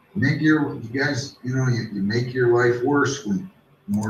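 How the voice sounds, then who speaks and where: Noticeable background noise sits behind a man speaking at a fairly slow pace. His pitch is medium with ordinary variation. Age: 60s. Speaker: judge. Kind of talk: court hearing. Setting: courtroom.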